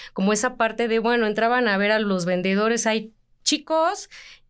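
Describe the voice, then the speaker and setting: With an unremarkable speaking voice, a woman talks at a fairly high pitch and uses ordinary pitch variation. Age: 30s. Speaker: sports journalist, editor. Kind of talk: interview conversation.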